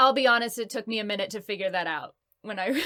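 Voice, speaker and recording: A woman's plain, everyday voice, fairly high-pitched, with ordinary pitch variation and a fairly quick pace. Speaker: voice actress. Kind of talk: interview answer. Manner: upbeat, chatty.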